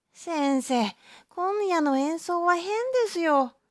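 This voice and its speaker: Delivered at a very slow pace, a put-on character voice with extremely high pitch sounds out on a very clean recording with a silent background. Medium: read story. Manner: polite but impudent.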